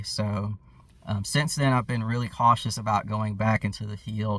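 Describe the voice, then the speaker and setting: Monotone, flat intonation in a fairly low male voice. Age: 20s. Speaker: airsoft youtuber. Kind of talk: personal vlog update. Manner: hesitant, many fillers.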